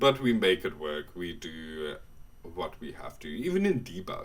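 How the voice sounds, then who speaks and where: A man speaks with a South African accent. His pace is very slow. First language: Afrikaans. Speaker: gaming YouTuber. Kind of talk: casual voiceover commentary. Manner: casual, hesitant.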